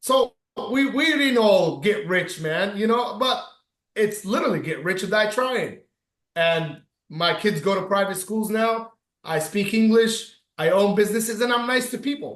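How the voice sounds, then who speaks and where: In a room with audible echo, a man with a high pitch speaks at a moderate pace in an animated tone. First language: Arabic. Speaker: business owner. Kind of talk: casual chat.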